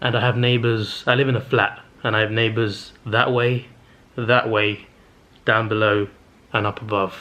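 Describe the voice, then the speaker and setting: With a bright, sharp tone, a man speaks in a monotone, flat way at very even loudness, leaving long, frequent pauses. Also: medium pitch for a man. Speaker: movie reviewer vlogger. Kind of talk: casual vlog monologue. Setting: home, in a flat late at night. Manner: fast; stuttering.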